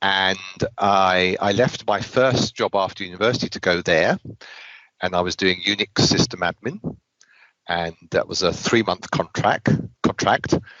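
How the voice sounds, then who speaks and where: With a British accent and a very deep, low pitch, a man speaks with fairly even intonation and long, frequent pauses. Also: moderate pace. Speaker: IT consultant and trainer. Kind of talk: interview.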